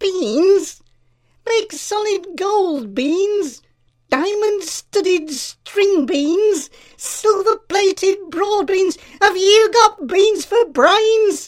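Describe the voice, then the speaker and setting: Shouting in a squeaky, put-on character voice, a woman speaks at a very slow pace with an extremely high pitch. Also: ordinary pitch variation. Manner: shouting, sarcastic.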